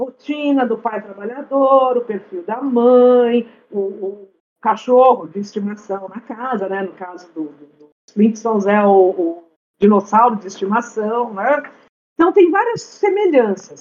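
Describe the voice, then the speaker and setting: A woman with an unremarkable speaking voice talks at a fairly slow pace and a fairly high pitch, with ordinary pitch variation and big swings in loudness. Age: 50s. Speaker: podcast guest. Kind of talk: casual chat.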